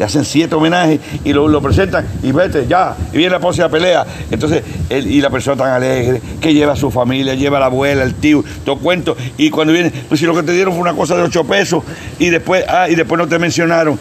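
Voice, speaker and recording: Very fast and at very even loudness, a man with a Puerto Rican accent talks at a fairly high pitch over noticeable background noise. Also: ordinary pitch variation. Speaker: wrestling promoter. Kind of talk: interview. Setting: on location in Vieques.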